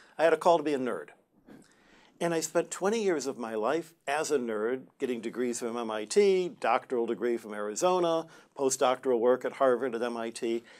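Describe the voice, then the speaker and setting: This man has an American accent and lively intonation. His pace is moderate. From US Midwest, Detroit. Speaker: Jesuit brother and astronomer. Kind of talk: TV interview. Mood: warm, good-humored. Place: studio.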